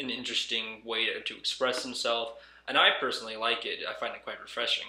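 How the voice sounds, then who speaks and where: A man speaks with audible room echo around him. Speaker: gaming commentary youtuber. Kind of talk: video commentary. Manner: halting. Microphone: echoey.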